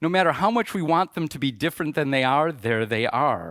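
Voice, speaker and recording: A man speaks with a Midwestern American accent. The recording is very clean, with a silent background. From US Midwest, suburbs of Chicago. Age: 60s. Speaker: conference speaker. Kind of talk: conference talk.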